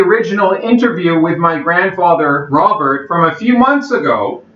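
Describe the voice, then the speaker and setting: A man speaks loudly at a moderate pace with lively intonation. Noticeable background noise and audible room echo are present. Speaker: channel host interviewing his grandfather. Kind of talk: video introduction. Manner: speaking loudly.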